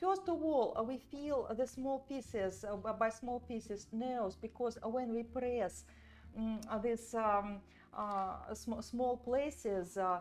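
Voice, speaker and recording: A woman with a fairly high voice speaks at a very slow pace over music playing in the background. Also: ordinary pitch variation. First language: not English. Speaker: doll artist and sculpting teacher. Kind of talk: live tutorial. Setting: livestream from studio. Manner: halting, many fillers.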